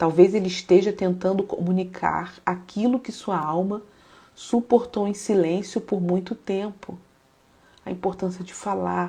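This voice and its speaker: A woman speaks at a fairly slow pace in a calm tone, her voice somewhat breathy and dark and mellow. Her pitch sits in a medium range and her intonation stays fairly even. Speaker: psychologist and faith-based live host. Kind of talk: live stream talk mixing psychology and devotional teaching. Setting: live stream. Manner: calm, reflective.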